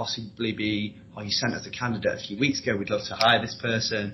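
Speaking with a Yorkshire accent, a man with a medium pitch keeps a moderate pace and fairly even intonation. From Leeds, northern England. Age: 20s. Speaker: recruitment consultant. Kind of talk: interview.

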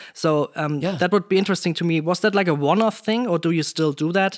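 A high-pitched man with a German accent, fairly quick and with ordinary pitch variation, in a very clean recording over a silent background. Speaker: podcast host, sound designer. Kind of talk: interview conversation. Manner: halting.

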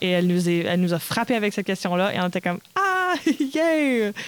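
With a Manitoba accent, a woman of medium pitch talks at a very fast pace with lively intonation over noticeable background noise. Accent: Franco-Manitoban Canadian French. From Manitoba, Canada (Red River Métis). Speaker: stage actress. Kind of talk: interview.

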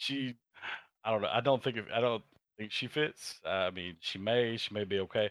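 Here a man talks in a normal speaking voice at a fairly quick pace. His pitch is fairly low with ordinary variation, on a very clean recording with a silent background. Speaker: gamer friend. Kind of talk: casual chat. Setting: live stream.

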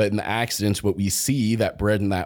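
On a very clean recording with a silent background, a man with an American accent speaks in a fairly low pitch. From Kansas, US Midwest. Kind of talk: casual chat.

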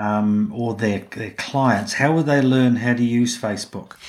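A man with a New Zealand accent, medium pitch and a fairly slow pace. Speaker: podcast host and business consultant. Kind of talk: interview. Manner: halting.

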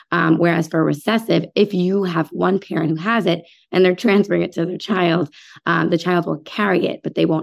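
Speaking at a fairly quick pace with an American accent, a woman uses a fairly low pitch and vocal fry on a very clean recording with a silent background. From New York City suburbs. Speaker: physician. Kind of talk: interview.

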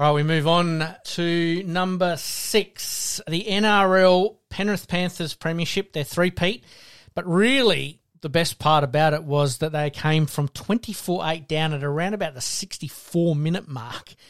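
A man with an Australian accent speaks at a very slow pace, his high pitch showing ordinary variation, on a very clean recording with a silent background. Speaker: podcast host. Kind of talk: casual sports chat. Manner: relaxed, conversational.

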